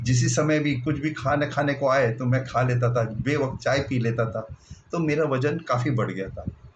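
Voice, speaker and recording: A man speaks with a fairly high pitch, fairly even intonation and a somewhat breathy voice. There is audible room echo. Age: 60s. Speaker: retired bank officer, diet program participant. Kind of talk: personal testimony.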